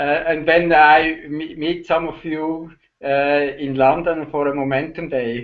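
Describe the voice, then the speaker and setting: In a Swiss German accent, a man speaks at a fairly slow pace. His fairly high voice stays monotone, with flat intonation. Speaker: online entrepreneur. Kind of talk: casual chat. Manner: halting.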